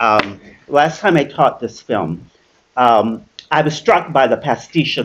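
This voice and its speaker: A man talks at a fairly slow pace. His voice carries vocal fry. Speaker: academic speaker at symposium. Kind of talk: academic talk.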